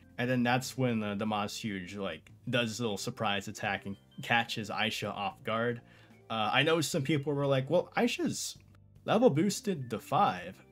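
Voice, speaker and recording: Faint music sits in the background. Over it, a man speaks at a fairly slow pace. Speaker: anime reviewer. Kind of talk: casual commentary. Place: home room.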